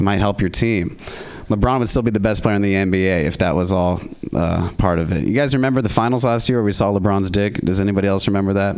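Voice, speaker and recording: A man talks very fast at a fairly low pitch with ordinary pitch variation and very even loudness. Noticeable background noise can be heard. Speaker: comedian. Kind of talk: stand-up. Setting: stage with audience.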